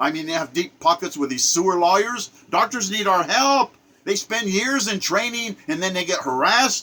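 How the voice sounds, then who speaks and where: A man's raised, projected voice, high in pitch, at a moderate pace amid noticeable background noise. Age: 70s. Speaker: political commentator. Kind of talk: rant monologue. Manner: animated.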